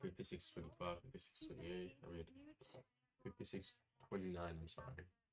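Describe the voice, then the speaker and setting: A soft-spoken man with a very deep, low pitch talks at a fairly quick pace, slightly breathy. His pitch varies in an ordinary way, and he leaves long, frequent pauses. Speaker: futures day trader streamer. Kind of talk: live trading commentary. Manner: casual, filler-heavy. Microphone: far from the mic.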